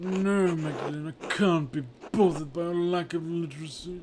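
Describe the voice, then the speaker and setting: A man puts on a character voice with a high pitch. Clear background noise sits behind him. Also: moderate pace. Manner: silly, exaggerated, mocking.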